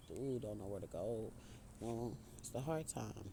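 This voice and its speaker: This man's tone is dark and mellow. His voice carries vocal fry. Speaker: spiritual speaker. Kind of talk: inspirational monologue. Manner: casual, conversational; halting.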